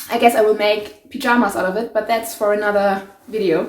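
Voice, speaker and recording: A woman's fairly high-pitched voice with a German accent. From Germany. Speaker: sewing YouTuber. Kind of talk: DIY tutorial vlog. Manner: casual, hesitant with many fillers.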